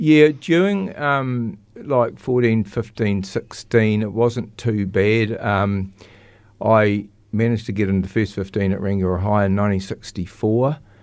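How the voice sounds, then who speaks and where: This man has a New Zealand accent. He speaks at a very slow pace. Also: fairly low pitch for a man, ordinary pitch variation. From New Zealand, Christchurch. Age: 70s. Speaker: recovering alcoholic. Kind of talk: testimony. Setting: studio. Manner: halting.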